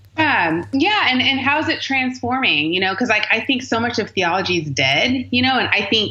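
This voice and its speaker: Over noticeable background noise, the voice moves at a moderate pace with very wide pitch swings. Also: woman. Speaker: author and speaker on race and theology. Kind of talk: interview answer. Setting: phone line.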